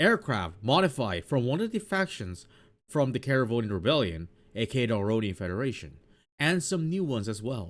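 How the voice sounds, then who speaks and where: The audio is spotless, with total silence behind it. A man's pitch rises and falls dramatically. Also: medium pitch for a man, fairly quick pace. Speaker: gaming streamer. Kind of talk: game commentary. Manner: halting.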